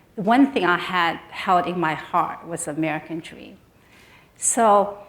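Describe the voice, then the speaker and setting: In a room with audible echo, a woman with a Chinese accent speaks with ordinary pitch variation. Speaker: business council CEO. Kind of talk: panel discussion. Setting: stage with audience.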